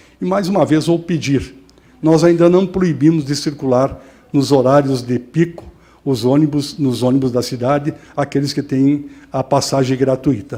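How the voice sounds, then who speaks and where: With ordinary pitch variation, the tone comes across dark and mellow. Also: man, fairly high pitch for a man, moderate pace. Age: 60s. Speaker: mayor. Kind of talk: press conference statement. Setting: press conference.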